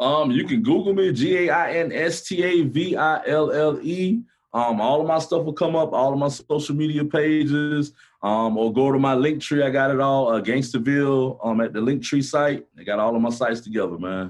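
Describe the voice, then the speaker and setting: With an American accent and a fairly high pitch, a man talks at a moderate pace in an animated tone, with lively intonation, very even loudness and hardly any pauses. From Gainesville, Florida. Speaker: rapper. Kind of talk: casual chat.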